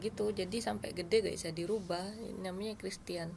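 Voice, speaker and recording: Here a woman speaks at a fairly quick pace. She has a slight Central Javanese accent. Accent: slight Central Javanese softness in speech. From Madura, Indonesia (born Wonosobo, Central Java). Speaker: sitcom actress. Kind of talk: casual interview chat.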